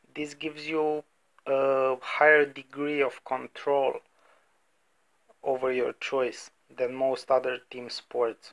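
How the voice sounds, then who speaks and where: A man with an Eastern European accent talks at a very slow pace in a fairly high pitch, his intonation monotone and flat, with long, frequent pauses. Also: dry, close sound with no echo. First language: non-native English speaker. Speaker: sports betting podcaster. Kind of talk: casual podcast monologue. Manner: hesitant, many fillers.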